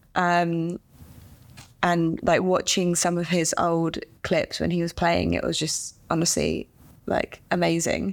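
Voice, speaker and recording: A flat monotone in an English accent at a very slow pace. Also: woman, fairly low pitch for a woman. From England. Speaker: professional golfer. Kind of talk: casual chat.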